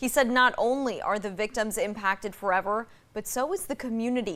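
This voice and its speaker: On a very clean recording with a silent background, a woman with an ordinary speaking voice talks at a fairly quick pace and a fairly high pitch, with ordinary pitch variation. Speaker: TV news reporter and anchor. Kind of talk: TV news report.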